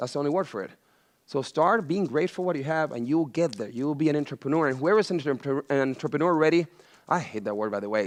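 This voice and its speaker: Against a quiet background, a man with a Venezuelan accent talks at a very fast pace in an animated tone. His intonation is lively and his pitch fairly high. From Venezuela, Caracas. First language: Spanish. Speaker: chef and entrepreneur. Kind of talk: motivational talk to students.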